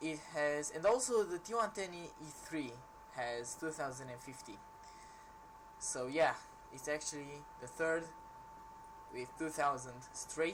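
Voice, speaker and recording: The speech comes at a fairly slow speed, and noticeable background noise can be heard. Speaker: gaming youtuber. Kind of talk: game review tutorial. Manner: loud.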